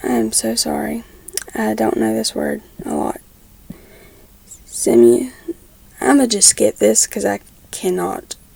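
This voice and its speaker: A woman talks fairly slowly, and noticeable noise runs in the background. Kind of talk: fan fiction reading. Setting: at home with background noise. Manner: stumbles over words, stuttering.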